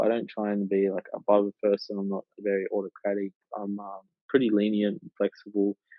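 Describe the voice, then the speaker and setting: A man with an Australian accent, fairly low in pitch, at a moderate pace. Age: 20s. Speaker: digital marketing agency co-founder and university student. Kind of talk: casual interview. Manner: halting, many fillers.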